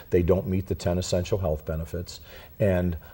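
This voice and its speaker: A man with a very deep, low pitch speaks at a moderate pace, his tone dark and mellow, somewhat breathy, and his intonation fairly even. The recording is very clean, the background silent. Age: 60s. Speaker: health insurance broker. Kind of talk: interview.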